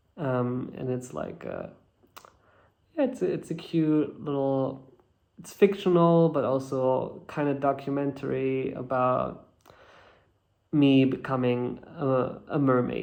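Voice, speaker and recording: A man speaks at a very slow pace with fairly even intonation and long, frequent pauses. His loudness swings widely, and the room echo is audible. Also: medium pitch for a man. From Germany. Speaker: actor. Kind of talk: interview. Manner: halting.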